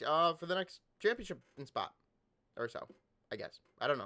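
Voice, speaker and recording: On a very clean recording with a silent background, a man with a fairly high pitch and a bright, sharp tone speaks at a very fast pace. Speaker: wrestling podcast host. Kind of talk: casual recap reading with commentary. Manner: animated.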